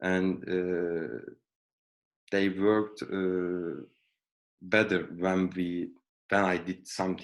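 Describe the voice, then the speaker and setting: In a Turkish accent, a man with a very deep, low pitch speaks at a very slow pace, with fairly even intonation and long, frequent pauses. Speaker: project engineer, alumnus. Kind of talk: career talk interview. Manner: halting.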